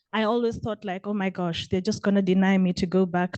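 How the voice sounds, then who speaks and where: In a Kenyan accent, a dark, mellow voice speaks at a fairly quick pace with fairly even intonation, recorded dry and close with no echo against a quiet background. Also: woman. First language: Kenyan vernacular language. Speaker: PhD student, journalist. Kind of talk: audience question at panel.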